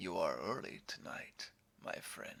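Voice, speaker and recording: A put-on character voice comes through at a fairly slow speed. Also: man. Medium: read story. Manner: calm, insinuating, quietly threatening.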